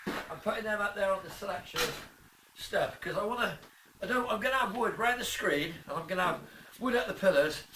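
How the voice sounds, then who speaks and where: A man with an English accent, high in pitch and at a very fast pace, amid audible room echo and noticeable background noise. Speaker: car restorer, video creator. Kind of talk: workshop vlog, casual talk to camera. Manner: loud; casual, rambling.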